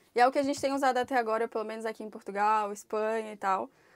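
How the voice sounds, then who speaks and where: Speaking fairly quickly, a woman with an unremarkable speaking voice has a fairly high pitch and fairly even intonation. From Brazil, Brasília; Brazil. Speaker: motorhome traveler. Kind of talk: casual chat. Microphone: lapel.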